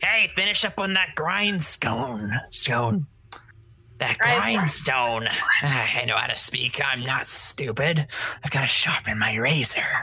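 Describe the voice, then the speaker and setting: Using a put-on character voice, a man speaks in a raspy, fairly high pitch with very wide pitch swings and long, frequent pauses. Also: fairly slow pace, very even loudness. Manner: gruff, irritated.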